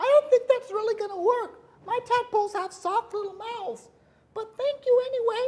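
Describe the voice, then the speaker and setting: A squeaky, female-sounding put-on character voice pitched extremely high for a woman moves along at a moderate pace. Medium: stage play. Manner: bright, earnest, polite.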